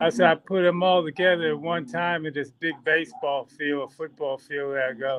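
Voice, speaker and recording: A man's fairly high voice at a moderate pace, with hardly any pauses and ordinary pitch variation. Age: 60s. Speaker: drone pilot and instructor. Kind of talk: casual chat. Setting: video call. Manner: halting. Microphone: talking on phone.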